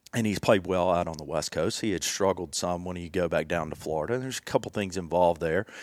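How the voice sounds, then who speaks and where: In a Southern US accent, a man talks very fast. His pitch is very deep and low, with ordinary variation. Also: very clean recording, silent background. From Tennessee, Jackson. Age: 30s. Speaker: golf technology representative. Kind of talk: casual chat.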